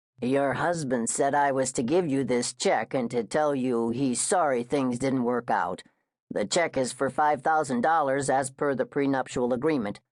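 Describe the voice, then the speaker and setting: Someone uses a put-on character voice with a low-to-middle pitch. The pace is moderate, and the background is quiet. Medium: read story. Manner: hesitant, formal.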